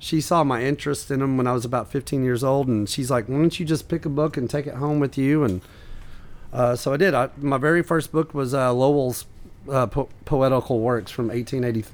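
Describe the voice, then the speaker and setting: With an American accent, a man talks in a plain, everyday voice at medium pitch, with fairly even intonation and a fairly quick pace. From US South, East Tennessee. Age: 40s. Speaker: comedian and rare book collector. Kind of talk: casual chat.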